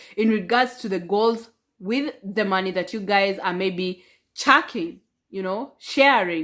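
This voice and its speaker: A woman speaks in an animated tone. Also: very clean recording, silent background. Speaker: relationship advice vlogger. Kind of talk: casual vlog monologue. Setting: at home. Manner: loud.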